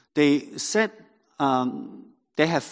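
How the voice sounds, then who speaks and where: A man with a Cantonese accent talks at a very slow pace with lively intonation. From Hong Kong. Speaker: pastor. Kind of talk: sermon. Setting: church. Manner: halting.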